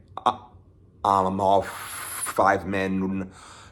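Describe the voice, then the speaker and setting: A man speaks very slowly at a fairly low pitch. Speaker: student. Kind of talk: book report presentation. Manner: halting, repeated sounds.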